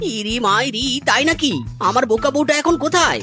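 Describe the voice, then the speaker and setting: A rumbling, put-on character voice speaks at a moderate pace. Music plays in the background. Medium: cartoon. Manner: grumbling, exclaims "mairi".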